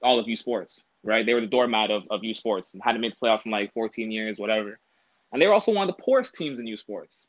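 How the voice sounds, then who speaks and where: A man with a plain, everyday voice and a Canadian accent speaks at a fairly quick pace, in a dry, close sound with no echo. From Toronto, Canada. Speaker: former university football player. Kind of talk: casual interview.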